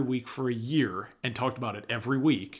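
A man speaks with fairly even intonation. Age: 20s. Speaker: movie podcast co-host. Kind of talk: casual chat.

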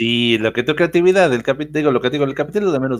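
On a very clean recording with a silent background, a man talks very fast at a fairly high pitch. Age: 40s. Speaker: business founder. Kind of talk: interview. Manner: halting, many repetitions.

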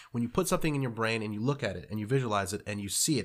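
Over a silent background in a very clean recording, a man talks at a very fast pace in a medium pitch with ordinary pitch variation. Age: 20s. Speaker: entrepreneur and landscaper. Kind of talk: casual interview. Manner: halting, frequent fillers.

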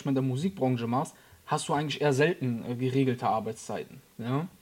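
Here is a man with a plain, everyday voice. His pitch sits fairly high. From Germany, Frankfurt area. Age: 30s. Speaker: photographer and videographer. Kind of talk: casual interview.

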